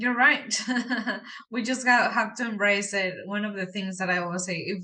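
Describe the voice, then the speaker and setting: With a strong Mexican accent, a woman speaks at a medium pitch in a bright, sharp tone with ordinary pitch variation. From Mexico. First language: Spanish. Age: young. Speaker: real estate investor. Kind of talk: interview.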